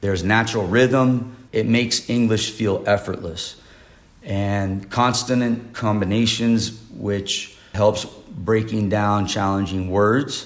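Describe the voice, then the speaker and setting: Speaking with an American accent, a man keeps a very slow pace and fairly even intonation at a fairly low pitch. Audible room echo surrounds his voice. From United States. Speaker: English pronunciation teacher. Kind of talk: online lesson. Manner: relaxed, conversational.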